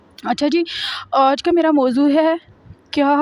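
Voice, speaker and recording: A high-pitched woman's voice in a dry, close sound with no echo. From Pakistan, Punjab. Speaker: vlogger. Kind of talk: casual vlog talk.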